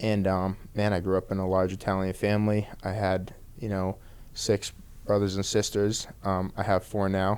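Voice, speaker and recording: A man with an American accent speaks at a moderate pace. His pitch is fairly low and his intonation monotone and flat. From Boston area, Massachusetts (Peabody). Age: 30s. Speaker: professional MMA fighter. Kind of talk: podcast interview. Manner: casual, lots of fillers.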